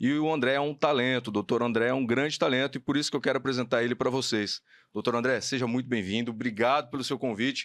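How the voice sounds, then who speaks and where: Speaking at a very fast pace, a man keeps a medium pitch and fairly even intonation on a very clean recording with a silent background. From Paraná, Brazil (Maringá). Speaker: podcast host, HR educator. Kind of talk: podcast interview.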